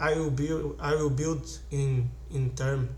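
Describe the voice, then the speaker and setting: There is audible room echo and noticeable background noise as a man talks. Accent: Portuguese. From Brazil. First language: Portuguese. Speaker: investing channel host. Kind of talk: casual tutorial / stock analysis. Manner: halting, many fillers and restarts.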